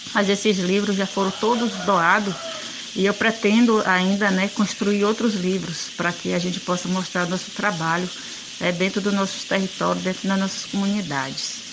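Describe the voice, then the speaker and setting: Speech at a moderate pace with fairly even intonation carries audible room echo and noticeable background noise. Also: woman, medium pitch for a woman. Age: 50s. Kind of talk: recorded testimony.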